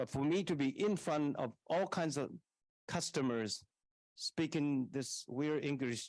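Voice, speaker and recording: With a Taiwanese accent, a man speaks at a fairly slow pace and fairly high pitch, with ordinary pitch variation, very even loudness and long, frequent pauses against a quiet background. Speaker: university leader. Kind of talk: answering audience question at public forum.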